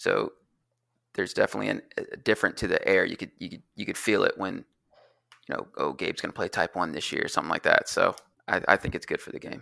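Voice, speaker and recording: A man with an American accent speaks at a very fast pace. The recording is very clean with a silent background. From US South. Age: 30s. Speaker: card game designer. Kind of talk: casual chat.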